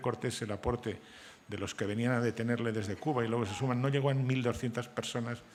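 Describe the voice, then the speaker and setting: Very fast and monotone, a man talks at a medium pitch with flat intonation. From Spain, Santander (Cantabria). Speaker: novelist and journalist. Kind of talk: panel discussion.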